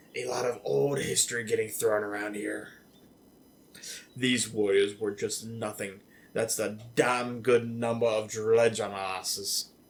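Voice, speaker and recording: At a moderate pace and medium pitch, a man puts on a raspy character voice. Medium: game stream. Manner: boastful, gruff banter.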